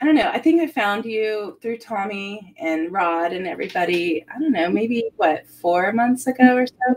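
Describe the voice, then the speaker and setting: A woman's fairly high, lively voice at a moderate pace with hardly any pauses, music in the background. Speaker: talk show host. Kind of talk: casual chat. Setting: live stream.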